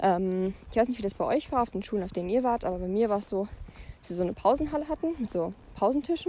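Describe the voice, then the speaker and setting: A woman talks at a very fast pace. Her pitch swings very widely and her loudness swings a lot. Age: young. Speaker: podcaster. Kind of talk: casual monologue. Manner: hesitant, many filler sounds.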